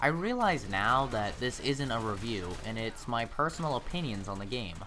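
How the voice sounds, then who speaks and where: Lively intonation at a moderate pace, with music in the background. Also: man, medium pitch for a man. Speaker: gaming YouTuber. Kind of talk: scripted game review. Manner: sometimes quiet, some stutters.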